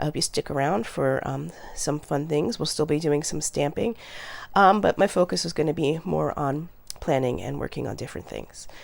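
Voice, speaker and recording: A woman with a very deep, low, husky voice and vocal fry speaks fairly quickly, her pitch swinging very widely. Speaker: journaling and stamping crafter. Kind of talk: casual craft tutorial talk to camera.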